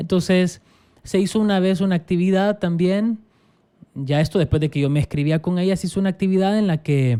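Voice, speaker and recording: With a Salvadoran accent, a man speaks at a high pitch in a dark, mellow tone. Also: ordinary pitch variation, fairly quick pace. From El Salvador. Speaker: pastor. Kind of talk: casual interview conversation.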